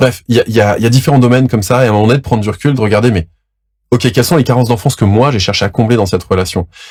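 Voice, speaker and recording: At a very fast pace, a somewhat breathy voice with ordinary pitch variation comes through in a very clean recording with a silent background. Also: man. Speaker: relationship coach. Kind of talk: educational monologue.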